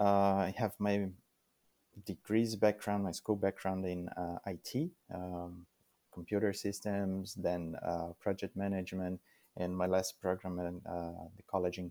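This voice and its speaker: With a Brazilian accent, a man speaks at a moderate pace in a very deep, low pitch and a dark, mellow tone, his intonation fairly even, on a very clean recording with a silent background and a dry, close sound with no echo. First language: Portuguese. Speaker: immigrant sharing life story. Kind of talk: interview. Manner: halting, many fillers.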